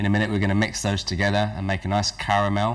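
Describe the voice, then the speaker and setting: With an English accent, a man is talking. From England. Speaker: cooking show host. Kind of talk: cooking demonstration. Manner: halting, with many fillers.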